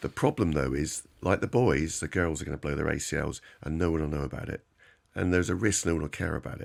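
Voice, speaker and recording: Speaking at a very fast pace, a man with a very deep, low pitch and vocal fry shows ordinary pitch variation. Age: 60s. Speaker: knee surgeon. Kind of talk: expert interview. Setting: radio studio.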